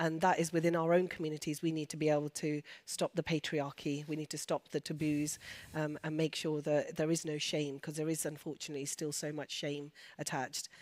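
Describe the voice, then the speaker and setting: A woman speaks at a fairly quick pace in a flat monotone, her pitch very deep and low. The sound is dry and close with no echo, on a very clean recording with a silent background. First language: Urdu and Punjabi. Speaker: doctor and women's health speaker. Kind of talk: panel Q&A discussion. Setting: stage with audience.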